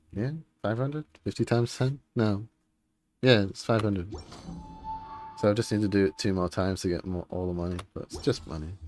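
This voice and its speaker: Music in the background beneath speech with ordinary pitch variation. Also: man. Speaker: vtuber streamer. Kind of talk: casual gaming stream chat. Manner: rambling, casual.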